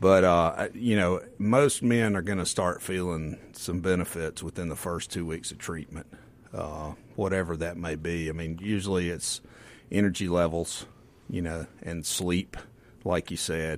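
A man speaks in a very deep, low voice with a Southern US accent. His pace is fairly slow and his intonation fairly even. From Mississippi Delta. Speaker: physician. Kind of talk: radio interview. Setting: studio.

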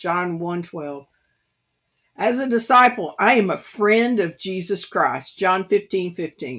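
A woman's medium-pitched voice in an American accent, very slow, with lively intonation. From US South, East Tennessee. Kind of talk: devotional Bible teaching.

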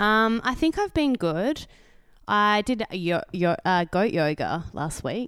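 With an Australian accent and a medium pitch, a woman talks at a very slow pace, her pitch swinging very widely on a very clean recording with a silent background. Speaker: podcast co-host. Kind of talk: casual chat.

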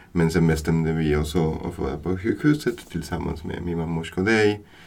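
With fairly even intonation, a man talks at a moderate pace in a very deep, low pitch. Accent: Spanish. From Buenos Aires, Argentina. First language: Spanish (speaking Swedish). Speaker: new father. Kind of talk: casual chat.

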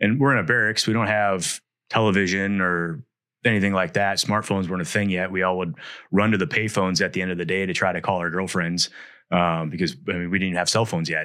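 A man's very deep, low voice at a very fast pace, with fairly even intonation against a quiet background. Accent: American. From US Midwest, Wisconsin. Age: 40s. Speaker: Marine veteran and business owner. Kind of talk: casual interview.

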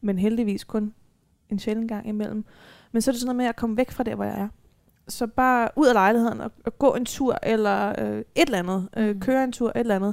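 Fairly high and fairly quick, a woman talks in an unremarkable speaking voice. Her intonation stays fairly even. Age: 20s. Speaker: social psychiatry worker with lived experience of self-harm. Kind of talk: live panel talk. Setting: live talk event.

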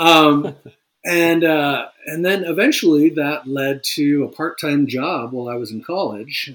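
A man with a Californian accent speaks at a fairly slow pace. His fairly high voice shows ordinary pitch variation. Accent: Californian American English. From Northern California. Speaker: fly rod company president and designer. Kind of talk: interview. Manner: hesitant with frequent ums.

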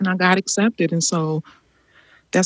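A woman with an American accent at a fairly quick pace and fairly even intonation. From Chicago, US Midwest. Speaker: artist and rest activist. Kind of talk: interview conversation.

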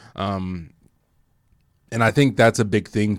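The recording is very clean, and the background is silent. A plain, everyday voice talks at a moderate pace. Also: man. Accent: American. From Detroit, Michigan, then Indiana as teenager. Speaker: podcast co-host. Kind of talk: casual chat. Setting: studio.

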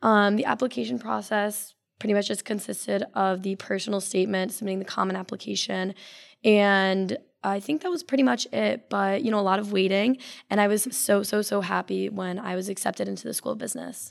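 Her voice is an unremarkable speaking voice with an American accent, medium in pitch with ordinary variation. This woman speaks at a fairly quick pace in a very clean recording with a silent background. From Connecticut. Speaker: business student. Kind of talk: casual interview.

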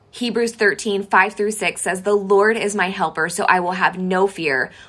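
A woman speaks at a medium pitch with an unremarkable speaking voice. Her pace is fairly slow. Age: 30s. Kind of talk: devotional talk. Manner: earnest.

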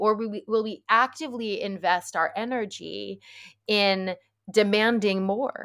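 A woman with an American accent speaks in a plain, everyday voice, fairly high in pitch with ordinary pitch variation, on a very clean recording with a silent background. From New York area, US. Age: 40s. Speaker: author and wellness activist. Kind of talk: casual interview conversation.

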